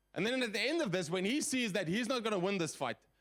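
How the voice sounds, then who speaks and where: A man speaks loudly at a fairly quick pace. His tone is animated. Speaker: guest preacher. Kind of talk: sermon.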